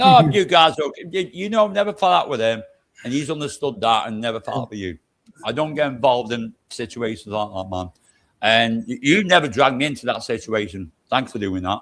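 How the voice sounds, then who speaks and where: Fairly quick, animated speech in a British accent with very wide pitch swings. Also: man, medium pitch for a man. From UK. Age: 60s. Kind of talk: casual chat.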